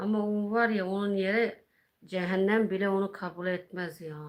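Someone speaks at a moderate pace in a monotone, flat intonation. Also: woman. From Malatya, eastern Turkey. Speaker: YouTuber. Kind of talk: casual chat. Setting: home livestream.

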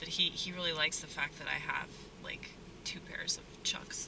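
A woman with an American accent at a moderate pace, with noticeable background noise. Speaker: stand-up comedian and restaurant worker. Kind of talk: casual vlog monologue. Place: car. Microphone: phone near.

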